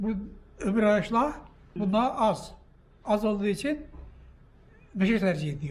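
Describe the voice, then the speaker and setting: In a room with audible echo, a man speaks high-pitched and fairly slowly. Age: 80s+. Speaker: barrel maker. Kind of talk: interview.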